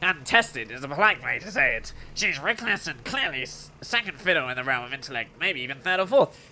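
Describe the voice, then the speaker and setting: A man's put-on character voice, high-pitched, with very wide pitch swings, a fairly quick pace, and clear background noise. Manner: disdainful, put-on.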